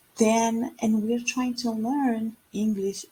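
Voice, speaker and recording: A woman with a Spanish accent speaks in a dark, mellow tone that is somewhat breathy. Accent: Spanish accent in English, noticeable. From Costa Rica. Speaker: English teacher. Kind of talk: online lesson. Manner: casual with many fillers.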